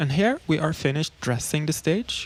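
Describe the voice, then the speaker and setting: The speaker has a Norwegian accent. The pace is moderate. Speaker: electronic musician. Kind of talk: livestream commentary on a slideshow. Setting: livestream with video call audience. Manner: casual, halting.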